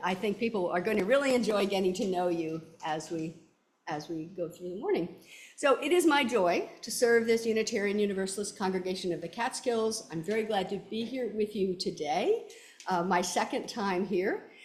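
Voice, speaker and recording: Audible room echo colors a woman's medium-pitched voice. She talks at a moderate pace with ordinary pitch variation. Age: old. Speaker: minister. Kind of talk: church service welcome and announcements. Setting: church. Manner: clear, projected speaking.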